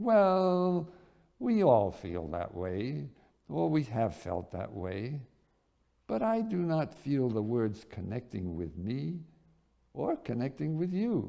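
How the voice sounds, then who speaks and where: A man's booming, put-on character voice at medium pitch, with very wide pitch swings and a very slow pace, on a very clean recording with a silent background. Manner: emphatic, critiquing.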